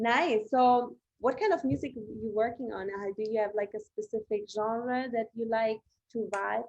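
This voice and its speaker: At a moderate pace, a woman with a German accent and a fairly high pitch speaks with ordinary pitch variation. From Germany. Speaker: podcast host. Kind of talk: podcast interview.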